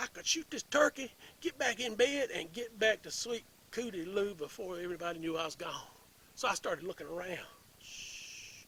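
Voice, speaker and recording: With a Tennessee accent, a man speaks at a moderate pace in a high pitch and a bright, sharp tone, with lively intonation and big swings in loudness. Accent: Southern US, Tennessee. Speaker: storyteller. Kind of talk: humorous hunting tale.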